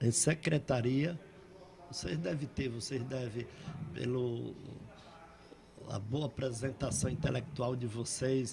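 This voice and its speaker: Speech at a very slow pace, broken by long, frequent pauses, with ordinary pitch variation. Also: man, medium pitch for a man. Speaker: poet and painter. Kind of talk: interview storytelling. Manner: halting.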